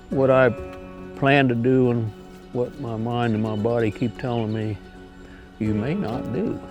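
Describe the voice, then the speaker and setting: Music plays in the background as a man speaks at a fairly slow pace, leaving long, frequent pauses. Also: medium pitch for a man, ordinary pitch variation. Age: 80s+. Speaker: long-distance hiker. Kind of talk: documentary interview answer.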